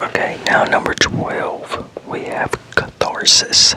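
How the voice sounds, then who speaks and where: Noticeable background noise behind a man's whisper. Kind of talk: ASMR whispered word definitions reading. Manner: whispered, soft.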